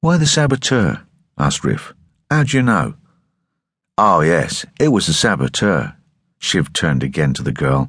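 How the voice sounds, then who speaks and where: A man with a very deep, low pitch and vocal fry speaks at a moderate pace. His pitch swings very widely, with long, frequent pauses. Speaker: audiobook narrator. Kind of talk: dramatic audiobook narration of a sci-fi novel, voicing characters in dialogue. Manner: tense, gritty storytelling with shifting character voices; clear, measured pacing with dramatic emphasis.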